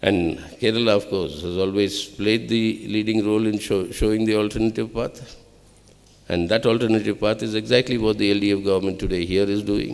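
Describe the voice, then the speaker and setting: A man with a Telugu accent speaks fairly quickly, at a fairly low pitch and with fairly even intonation. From Andhra Pradesh, India. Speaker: political speaker. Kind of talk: public speech.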